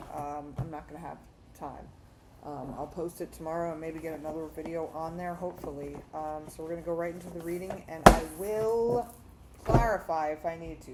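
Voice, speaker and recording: At a fairly quick pace, the speaker keeps a fairly even intonation while audible room echo and noticeable background noise fill the recording. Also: woman. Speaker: tarot reader. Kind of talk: tarot reading to camera. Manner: fast; hesitant, many fillers.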